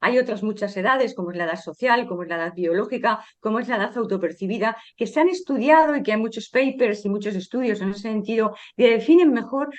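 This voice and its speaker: This woman's voice sits fairly high, with ordinary pitch variation. She speaks at a fairly quick pace. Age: 60s. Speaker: sociologist and author. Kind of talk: interview. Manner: hesitant with fillers.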